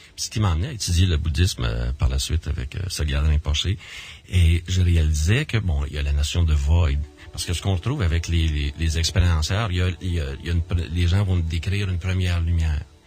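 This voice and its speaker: Music plays in the background as someone speaks at a fairly quick pace with ordinary pitch variation. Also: man, very deep, low pitch for a man. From Quebec. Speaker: near-death experiencer and association director. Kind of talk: radio interview. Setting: radio studio. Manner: halting, many repetitions and fillers.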